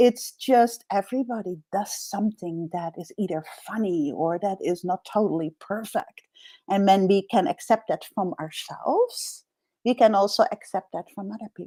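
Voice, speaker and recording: A woman's dark, mellow tone at a medium pitch, with big swings in loudness. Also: ordinary pitch variation, moderate pace, dry, close sound with no echo. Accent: Dutch. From Netherlands. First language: Dutch. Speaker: executive coach. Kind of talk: interview.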